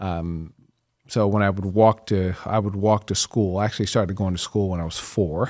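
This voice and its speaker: With an American accent, a man talks in a normal speaking voice at a fairly low pitch, a moderate pace and fairly even intonation on a very clean recording with a silent background. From US Midwest, Kansas and Chicago area. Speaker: entrepreneur. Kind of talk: interview.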